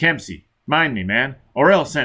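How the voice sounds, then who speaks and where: A man puts on a character voice pitched fairly high. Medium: read story. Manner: curt, hard.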